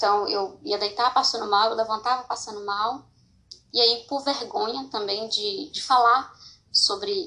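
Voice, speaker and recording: Speaking at a fairly slow pace, a woman uses a bright, sharp, fairly high voice with ordinary pitch variation. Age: 20s. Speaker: podcaster sharing personal mental health story. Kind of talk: personal testimony. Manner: informal, hesitant with fillers.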